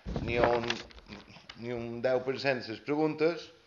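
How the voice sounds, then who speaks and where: Faint music plays behind a man as he talks. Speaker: opposition councillor. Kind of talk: heated municipal council debate. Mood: critical, somewhat ironic. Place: hall. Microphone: camera far.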